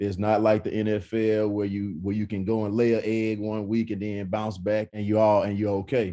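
In an East Texas accent, a man with a dark, mellow tone and fairly low pitch speaks with monotone, flat intonation and hardly any pauses. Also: moderate pace, quiet background. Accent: East Texas Southern American. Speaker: former college quarterback, football analyst. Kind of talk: casual sports talk interview. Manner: repetitive, halting starts.

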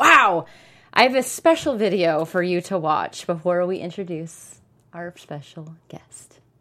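This woman has an ordinary speaking voice, fairly low in pitch. She talks at a fairly slow pace with ordinary pitch variation. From Portland, Oregon. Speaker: sports podcast co-host. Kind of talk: casual sports banter.

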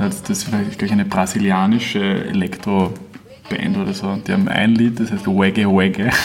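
With noticeable background noise, a man keeps a moderate pace and hardly any pauses. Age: 20s. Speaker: singer and guitarist. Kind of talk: casual interview.

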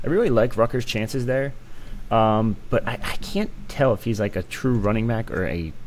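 A normal speaking voice from a man, at a moderate pace, with ordinary pitch variation. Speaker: co-host recruiting analyst. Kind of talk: casual sports chat.

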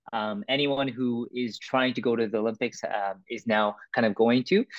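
Speaking at a moderate pace, a man with a Canadian accent has a medium pitch. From Vancouver, Canada. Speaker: breakdancer. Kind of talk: interview. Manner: hesitant with many fillers.

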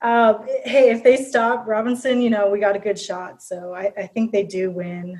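A woman with an American accent speaks at a moderate pace in a fairly high pitch, with fairly even intonation and hardly any pauses. An unremarkable speaking voice. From Minnesota, Prior Lake. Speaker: sports fan. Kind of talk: casual chat.

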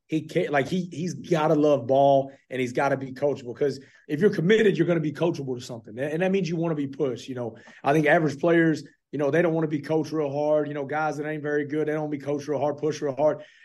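Talking at a very fast pace, a man speaks in a Texan accent. His pitch is fairly high. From Texas, Fort Worth. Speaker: college football coach. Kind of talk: radio interview. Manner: animated.

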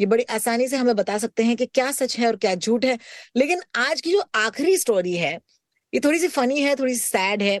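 A woman speaks in a high, animated voice with lively intonation. Her loudness stays very even, and the sound is dry and close with no echo. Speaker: radio host and podcast co-host. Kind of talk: casual chat.

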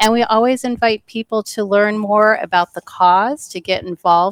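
In a dry, close sound with no echo, a woman with an American accent and a normal speaking voice talks at a moderate pace and medium pitch, her intonation fairly even. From Michigan. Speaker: nonprofit associate director. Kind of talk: interview.

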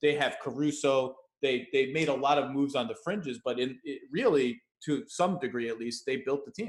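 Speaking at a moderate pace, a man with an unremarkable speaking voice talks at a fairly high pitch with ordinary pitch variation. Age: 40s. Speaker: basketball writer and podcast host. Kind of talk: casual interview.

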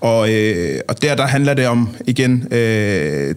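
Noticeable background noise behind a man's medium-pitched speech. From Copenhagen, Nordvest. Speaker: street football club member. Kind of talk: casual interview. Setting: studio. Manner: halting.

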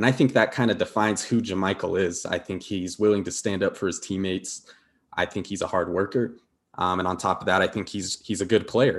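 A man speaks in a plain, everyday voice at fairly low pitch against a quiet background. He keeps a fairly quick pace with fairly even intonation. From Denver, Colorado, US. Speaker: data scientist and basketball analyst. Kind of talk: casual sports analysis chat.

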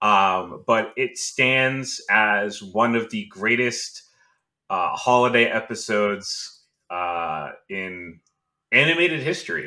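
A man with a bright, sharp tone talks at a medium pitch with lively intonation. His pace is very slow. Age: 20s. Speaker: podcast host. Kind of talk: casual chat.

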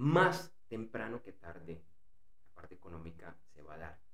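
A man talks at a fairly slow pace in a somewhat breathy voice. Room echo is audible. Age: 40s. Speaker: business podcast host and consultant. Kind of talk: interview and personal monologue.

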